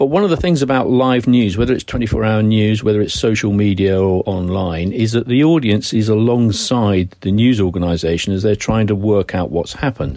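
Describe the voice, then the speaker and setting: A man with a British accent speaks at a fairly quick pace with hardly any pauses. His fairly low voice has a dark, mellow tone, ordinary pitch variation and very even loudness. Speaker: journalism professor and former news executive. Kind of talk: interview.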